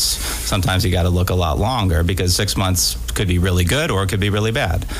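Noticeable background noise sits behind a man with a very deep, low voice. He talks at a fairly quick pace with ordinary pitch variation. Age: 40s. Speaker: radio co-host. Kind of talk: financial talk radio. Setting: radio studio.

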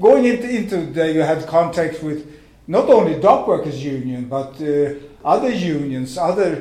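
With a Swedish accent, a man speaks at a fairly slow pace. His pitch swings very widely. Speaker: retired dock worker. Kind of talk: talk. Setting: stage with audience.

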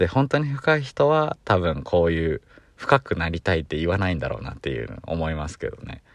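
A man speaks with a very deep, low pitch and very wide pitch swings. The background is quiet. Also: fairly quick pace, big swings in loudness. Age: 20s. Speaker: podcast co-host. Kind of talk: solo casual monologue. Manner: rambling, relaxed.

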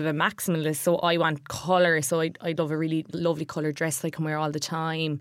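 A woman with an Irish accent, fairly low in pitch, at a very fast pace, in a very clean recording with a silent background. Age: 20s. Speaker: fashion staff writer. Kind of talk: casual chat. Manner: animated.

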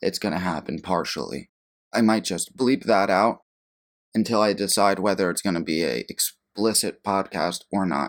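Very clean with a silent background, the recording has a man with a fairly low pitch and vocal fry speaking at a moderate pace with lively intonation. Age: 20s. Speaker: podcast host and producer. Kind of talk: casual solo monologue.

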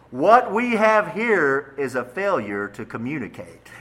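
A man puts on a booming character voice, fairly high in pitch, speaking at a fairly slow pace with very wide pitch swings. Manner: authoritative.

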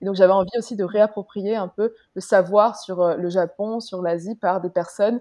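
A woman's dark, mellow tone comes through with fairly even intonation in a dry, close sound with no echo and a quiet background. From Luxembourg. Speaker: podcast guest. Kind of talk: interview.

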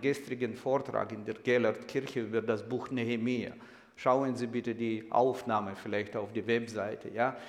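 A man's medium-pitched voice in monotone, flat intonation at a moderate pace, with audible room echo. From Ukraine, Kyiv. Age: 60s. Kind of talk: sermon-style lecture; interview.

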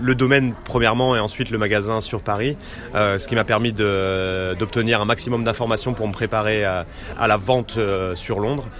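Noticeable background noise surrounds the speaker. A man talks at a moderate pace, his fairly low pitch carrying fairly even intonation. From Normandy, France. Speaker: business development manager. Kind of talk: interview. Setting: restaurant tea room. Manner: halting, many hesitations.

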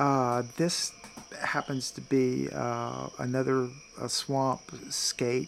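A man with an American accent speaks at a very slow pace. Noticeable background noise is present. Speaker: experimental archaeologist and naturalist educator. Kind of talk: casual interview.

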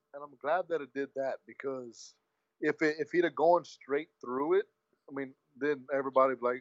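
A man uses a normal speaking voice at a medium pitch and a moderate pace. His loudness swings widely. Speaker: wrestling podcast co-host. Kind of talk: casual chat.

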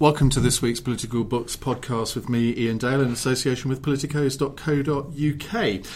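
A man with a southern English accent speaks at a fairly quick pace and medium pitch, somewhat breathy, with fairly even intonation and hardly any pauses. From Essex, England. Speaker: podcast host. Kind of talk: interview.

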